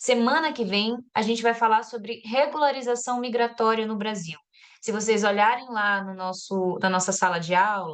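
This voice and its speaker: Speaking at a moderate pace, a woman uses a fairly high pitch and ordinary pitch variation. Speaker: course coordinator. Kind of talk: online class announcements.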